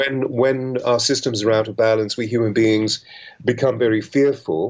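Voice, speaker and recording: In a plain, everyday voice, a man talks at a moderate pace. His pitch is medium and his intonation is fairly even. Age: 60s. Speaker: author and coach to public figures. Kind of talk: interview on radio. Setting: radio studio.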